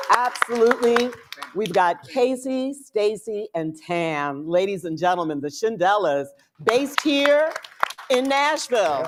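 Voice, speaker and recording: A woman at a very slow pace, medium in pitch with very wide pitch swings, against noticeable background noise. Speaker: podcast co-host and panel moderator. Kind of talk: panel introductions. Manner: loud. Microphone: no microphone.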